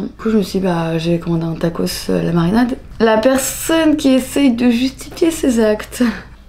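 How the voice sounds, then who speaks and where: A woman's fairly high, dark, mellow voice at a fairly slow pace, with lively intonation. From France, Annecy (Alps). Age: 20s. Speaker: vlogger. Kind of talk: casual vlog talk. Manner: casual, hesitant with fillers.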